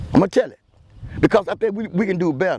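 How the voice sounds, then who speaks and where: An animated man with a high pitch and a Louisiana accent. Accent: US Southern, Louisiana. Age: 70s. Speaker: local community commentator. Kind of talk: outdoor vlog monologue. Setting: outdoors by the water at a port. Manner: animated, repetitive stammering.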